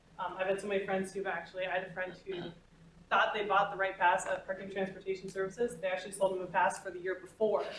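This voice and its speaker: A woman talks at a very fast pace in a medium pitch, her intonation flat and monotone, with audible echo in the room. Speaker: university student applying for committee seat. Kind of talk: appointment statement at student senate meeting. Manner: hesitant, many fillers.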